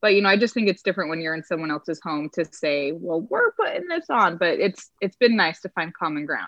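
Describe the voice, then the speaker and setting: A woman with an American accent talks at a fairly quick pace and a fairly low pitch, with ordinary pitch variation. It is an ordinary speaking voice. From Utah, Salt Lake City. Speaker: streaming service representative. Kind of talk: casual chat.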